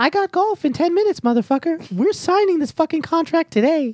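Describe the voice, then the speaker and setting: Pitched extremely high, a man puts on a squeaky character voice. He talks at a fairly quick pace. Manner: brash, impatient.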